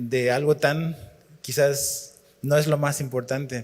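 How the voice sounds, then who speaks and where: Very slowly and somewhat breathily, a man speaks at a medium pitch with fairly even intonation. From Chile. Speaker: pastor. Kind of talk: sermon.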